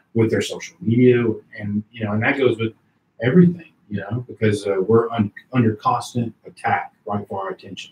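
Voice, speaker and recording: Speaking at a moderate pace, a man has a somewhat breathy voice at a medium pitch. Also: ordinary pitch variation, dry, close sound with no echo. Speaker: interview show host. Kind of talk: casual interview. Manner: stutters at times.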